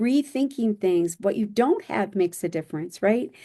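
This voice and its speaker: A woman speaks with a dark, mellow tone at a medium pitch. Her pace is moderate and her pitch variation ordinary. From US Midwest (Michigan). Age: 60s. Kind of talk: podcast interview.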